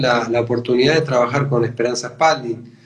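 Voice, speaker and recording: Ordinary pitch variation marks the somewhat breathy speech of a man. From Argentina, Buenos Aires. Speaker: radio host and percussionist. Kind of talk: radio interview.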